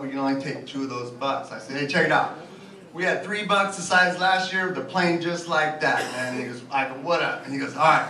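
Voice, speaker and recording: Audible room echo and light background noise surround a man's voice. He speaks at a fairly quick pace with ordinary pitch variation. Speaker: stand-up comedian. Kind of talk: stand-up comedy set, crude joke-telling. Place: bar.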